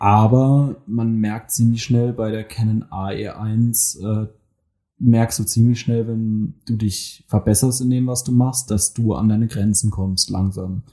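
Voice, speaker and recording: A man's somewhat breathy voice with a dark, mellow tone, medium pitch, fairly even intonation and a very slow pace. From Mannheim, Germany. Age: 20s. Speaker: photographer. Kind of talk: casual chat. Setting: studio.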